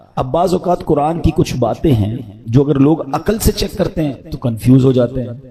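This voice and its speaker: Lively intonation stands out over noticeable background noise. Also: man. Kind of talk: religious sermon (bayan) on the Quran. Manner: calm, clear, explanatory.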